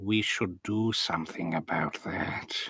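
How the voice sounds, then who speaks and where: Putting on a character voice, a man speaks fairly low and at a fairly slow pace. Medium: actual play. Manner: formal, earnest.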